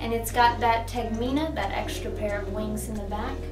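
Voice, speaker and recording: A woman speaks while clear music plays behind her. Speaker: presenter. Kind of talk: mock painting-show tutorial. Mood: cheerful, gentle. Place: classroom. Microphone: camera far.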